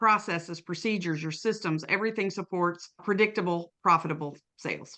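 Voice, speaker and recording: A woman with an American accent, medium pitch, a bright, sharp tone and fairly even intonation. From East Tennessee, US South (small town). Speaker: sales consultant, podcast co-host. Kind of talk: casual podcast interview.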